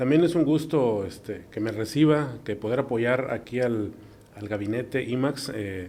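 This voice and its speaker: There's a dark, mellow tone to this man's voice, with ordinary pitch variation. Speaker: neuroradiologist. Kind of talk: interview. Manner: halting.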